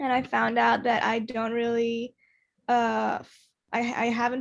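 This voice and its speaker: A woman with a Spanish accent talks at a fairly slow pace and a fairly high pitch. The recording is very clean, with a silent background. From Argentina. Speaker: student entrepreneur. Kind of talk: panel discussion.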